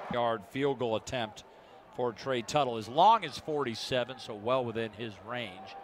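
A man's plain, everyday voice at medium pitch, fairly slow in pace, with fairly even intonation. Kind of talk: live play-by-play sports commentary.

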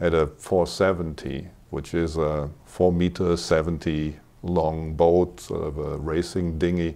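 A man's very deep, low voice, dark and mellow in tone, monotone and flat, at a very slow pace. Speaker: interview guest. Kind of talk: interview answer. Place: studio. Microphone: lapel.

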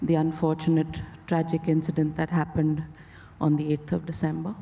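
A woman with a fairly low pitch and a dark, mellow tone speaks at a moderate pace in a monotone, flat intonation. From India. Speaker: filmmaker's daughter introducing her father. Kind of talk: formal speech. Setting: stage with audience. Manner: hesitant with fillers. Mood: solemn, respectful. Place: stage. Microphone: handheld.

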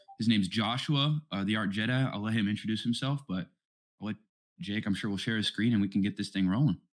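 Pitch variation here is ordinary. The pace is very fast. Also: man, fairly low pitch for a man. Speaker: community event host. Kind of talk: casual chat. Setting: online voice call.

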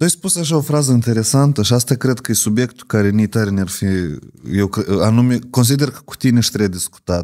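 A very fast, lively-intoned delivery in a dark, mellow tone, with big swings in loudness over a quiet background. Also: man, medium pitch for a man. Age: 30s. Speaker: podcast host. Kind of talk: interview. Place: studio. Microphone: studio mic.

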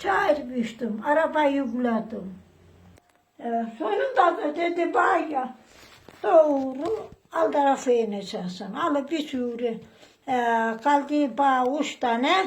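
Speaking very slowly, a woman uses a high pitch and lively intonation. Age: 80s+. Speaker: retired farmer. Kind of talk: interview answer.

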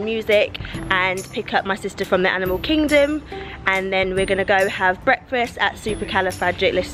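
Clear music plays in the background. Over it, the speech runs at a fairly quick pace with ordinary pitch variation. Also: woman. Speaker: family vlogger. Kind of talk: casual vlog chat. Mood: cheerful, excited. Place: street. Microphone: phone near.

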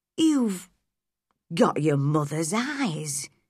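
A put-on character voice, shaky and at a middle pitch

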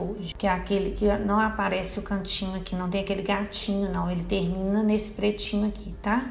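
The delivery is monotone and flat at a moderate pace. Noticeable background noise runs underneath. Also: woman. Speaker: beauty vlogger. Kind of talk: makeup tutorial talk to camera.

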